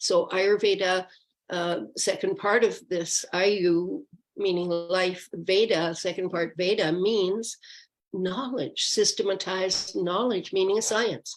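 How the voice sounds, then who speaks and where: Very slowly, a woman speaks at a medium pitch. Her intonation stays fairly even. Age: 70s. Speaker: Ayurveda practitioner and speaker. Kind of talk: educational talk in an online forum. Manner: halting, many fillers.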